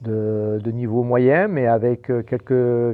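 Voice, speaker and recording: The speaker is a man with a medium-pitched voice. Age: 60s. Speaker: boxing coach. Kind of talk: podcast interview. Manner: hesitant, many fillers and repetitions.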